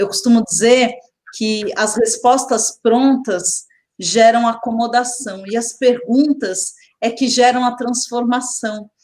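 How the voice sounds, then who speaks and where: A woman's high-pitched voice at a very slow pace, with fairly even intonation. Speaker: education specialist. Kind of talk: webinar presentation.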